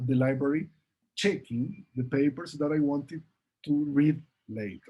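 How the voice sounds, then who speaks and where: Speaking at a fairly slow pace, a man has a fairly high pitch, a dark, mellow tone, a somewhat breathy quality and ordinary pitch variation. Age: 60s. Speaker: professor; presenter. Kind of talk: Q&A answers; lecture. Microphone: webcam.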